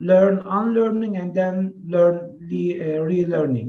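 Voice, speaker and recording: A man with a Turkish accent speaks fairly slowly in a dark, mellow tone with ordinary pitch variation. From Turkey. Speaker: professor. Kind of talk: webinar presentation. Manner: hesitant with filler sounds.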